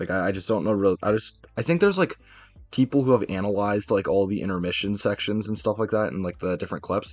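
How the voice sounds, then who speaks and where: A man speaks at a very fast pace with ordinary pitch variation. Music plays in the background. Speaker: streamer and artist. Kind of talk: casual live stream chat. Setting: live stream. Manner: halting.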